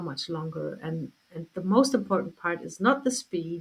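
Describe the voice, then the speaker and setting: Speaking at a moderate pace, a woman has a plain, everyday voice. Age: 60s. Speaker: health coach. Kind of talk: interview.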